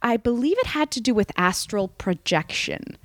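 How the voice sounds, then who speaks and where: Recorded with a dry, close sound and no echo, a woman speaks at high pitch with very wide pitch swings. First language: Spanish. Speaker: comedian. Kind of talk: casual chat. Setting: host's apartment. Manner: halting.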